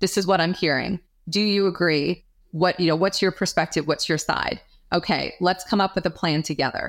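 With an American accent and an ordinary speaking voice, a woman of fairly low pitch speaks at a moderate pace with fairly even intonation and very even loudness. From New York. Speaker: chief marketing officer. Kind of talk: interview.

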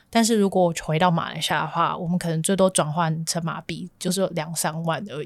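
This woman has a plain, everyday voice. She talks at a fairly quick pace with fairly even intonation. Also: fairly low pitch for a woman. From Malaysia. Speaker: graduate student and worker. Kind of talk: casual interview.

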